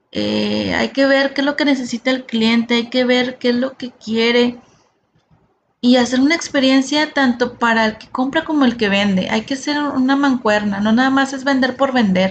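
At a moderate pace, a woman with a northern Mexican accent speaks in a high pitch with fairly even intonation. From Monterrey, Mexico. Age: 40s. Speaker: podcast host, sales and customer service entrepreneur. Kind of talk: solo podcast monologue.

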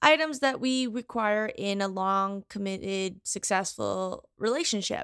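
A woman's plain, everyday voice at medium pitch with ordinary pitch variation, in a very clean recording with a silent background and a dry, close sound with no echo. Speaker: podcast host. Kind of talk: interview, casual chat. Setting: home recording, dog barking.

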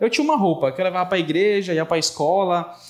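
Talking at a very fast pace, a man swings his pitch very widely over noticeable background noise. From Brazil, Pará (Bragança). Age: 20s. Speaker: tech entrepreneur. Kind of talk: interview.

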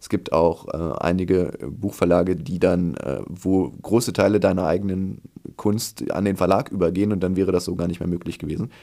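Intonation remains fairly even. The voice has a dark, mellow tone. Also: man, very deep, low pitch for a man, moderate pace. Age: 20s. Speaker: children's book author. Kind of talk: reading aloud; casual chat.

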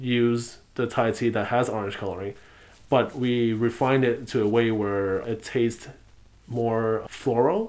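With an American accent, this is an unremarkable speaking voice moving at a fairly slow pace. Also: man. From New York City, Lower East Side. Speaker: bubble tea shop owner. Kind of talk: casual interview.

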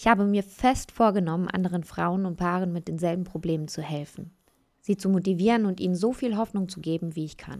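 On a very clean recording with a silent background, a woman with a plain, everyday voice speaks at a fairly quick pace with fairly even intonation. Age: 30s. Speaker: podcast host. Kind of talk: scripted monologue.

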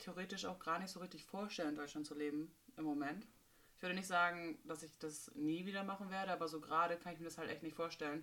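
With a normal speaking voice, a woman talks at a fairly quick pace, her pitch fairly low and varying in an ordinary way. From northern Germany, Bremerhaven. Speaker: nanny. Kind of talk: casual chat.

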